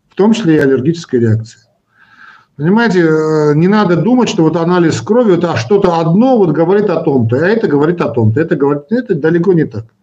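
A man talks in a high voice with a dark, mellow tone and lively intonation. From Armenia, Yerevan. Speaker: cardiologist, medical professor. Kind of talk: live stream Q&A. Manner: animated.

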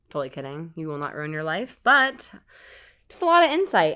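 Recorded very cleanly over a silent background, a woman speaks with a bright, sharp tone. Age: 30s. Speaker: attorney. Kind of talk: casual chat.

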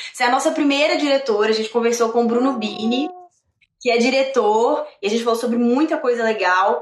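With an animated tone and a fairly quick pace, a woman speaks at a high pitch with ordinary pitch variation and very even loudness, and audible room echo surrounds her voice. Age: 20s. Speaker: actress and podcast host. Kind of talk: casual interview chat. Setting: live stream.

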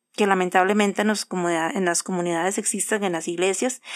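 On a very clean recording with a silent background, a woman in an ordinary speaking voice talks at a fairly quick pace and medium pitch with ordinary pitch variation. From Costa Rica (Cartago). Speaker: podcast co-host. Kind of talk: casual chat.

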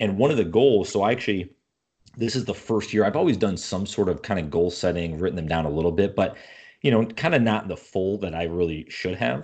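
In an American accent, a man with a normal speaking voice and fairly low pitch talks at a fairly quick pace with lively intonation over a quiet background. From upstate New York. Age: 30s. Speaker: entrepreneur and podcaster. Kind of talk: casual interview conversation.

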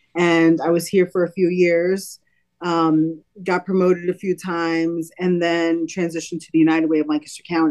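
With an American accent, the speaker talks in a monotone, flat intonation over music in the background, the loudness swinging widely. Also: woman, fairly low pitch for a woman, moderate pace. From Brooklyn, New York City. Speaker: nonprofit executive. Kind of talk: interview.

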